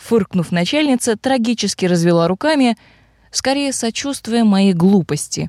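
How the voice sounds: Lively intonation in a natural reading voice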